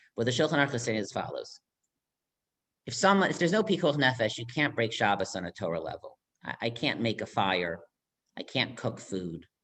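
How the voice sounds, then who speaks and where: A man talks at a fairly quick pace, broken by long, frequent pauses. His medium-pitched voice swings very widely in pitch. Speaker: rabbi. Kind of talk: lecture. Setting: video call. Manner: fast.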